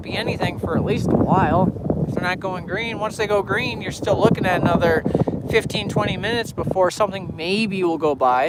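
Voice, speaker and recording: An American accent at a fairly quick pace, with ordinary pitch variation and noticeable background noise. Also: man. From Illinois, US. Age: 20s. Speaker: railfan streamer. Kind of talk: casual live stream chat.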